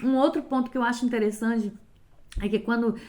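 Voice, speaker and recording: This woman's fairly high voice has a dark, mellow tone and ordinary pitch variation. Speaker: lay preacher. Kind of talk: sermon. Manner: animated.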